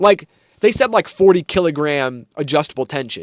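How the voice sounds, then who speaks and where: Backed by music, a man with an American accent and a fairly high voice speaks at a moderate pace with very wide pitch swings, in a dry, close sound with no echo. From US Midwest, Michigan. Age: 20s. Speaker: gaming streamer and controller reviewer. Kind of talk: casual live stream chat. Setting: live stream.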